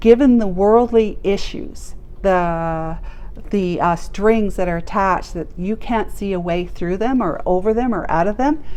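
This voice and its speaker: A woman's medium-pitched voice, dark and mellow in tone, at a fairly slow pace with ordinary pitch variation and audible room echo. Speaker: tarot reader. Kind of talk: tarot reading. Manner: animated.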